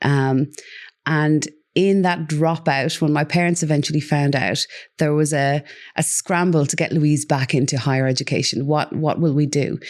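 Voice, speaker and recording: A woman speaks with an Irish accent at a very deep, low pitch. Her pace is moderate, her intonation fairly even, her loudness very even, and the background quiet. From Ireland. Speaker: parenting coach. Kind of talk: interview.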